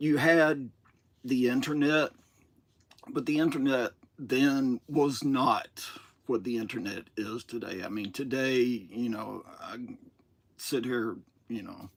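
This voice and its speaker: A man with a Southern US accent speaks at a very slow pace, with long, frequent pauses and big swings in loudness. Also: medium pitch for a man, ordinary pitch variation. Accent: Southern US twang. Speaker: toy collector streamer. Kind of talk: live stream monologue. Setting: solo live stream. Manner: casual, hesitant with fillers.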